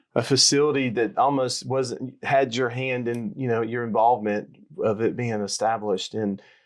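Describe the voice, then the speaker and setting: This man has an Alabama accent and a fairly quick pace. The background is quiet. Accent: Southern US (Alabama). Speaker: podcast host, party chairman. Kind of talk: interview.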